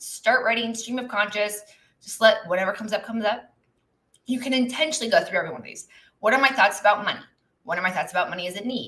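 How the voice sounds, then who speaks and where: A woman's very fast, bright, sharp voice with big swings in loudness and ordinary pitch variation. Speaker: business and legal coach. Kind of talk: live stream teaching. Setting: live stream with chat. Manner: casual, with fillers.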